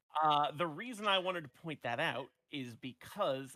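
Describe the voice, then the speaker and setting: A man speaks loudly in a bright, sharp tone, his fairly high pitch moving in lively intonation. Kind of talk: casual chat.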